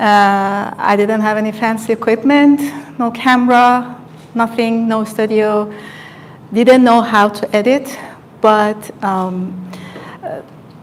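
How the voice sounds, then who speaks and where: Over noticeable background noise, a woman with a non-native accent speaks very slowly at a fairly high pitch, keeping her intonation fairly even and leaving long, frequent pauses. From Iran. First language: Farsi. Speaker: hairstylist and beauty content creator. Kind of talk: live stream talk, personal story. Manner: halting, many fillers.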